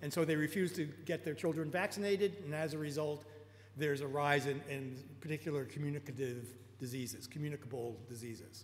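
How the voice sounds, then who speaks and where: A man speaks with a New York accent at a fairly high pitch, somewhat breathy, with ordinary pitch variation. Room echo is audible. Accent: American, New York. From US Northeast, New York. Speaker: technologist and lecturer. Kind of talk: lecture. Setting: auditorium talk with live interpreter. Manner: fast; halting.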